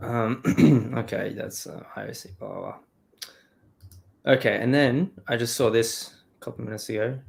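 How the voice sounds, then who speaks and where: An Australian man speaks at a fairly slow pace, medium in pitch with ordinary pitch variation and some vocal fry. His loudness swings widely. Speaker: streamer and podcast host. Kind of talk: casual chat. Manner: animated.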